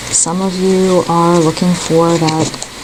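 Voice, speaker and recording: The speaker is soft-spoken, with noticeable background noise. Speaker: tarot reader. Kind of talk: tarot reading. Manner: hesitant, many fillers.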